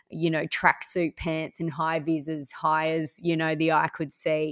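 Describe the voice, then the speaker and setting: A woman with an Australian accent, very deep and low in pitch, at a moderate pace, in a very clean, dry, close recording with no echo and a silent background. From Orange, central west New South Wales, Australia. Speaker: small business owner. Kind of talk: interview.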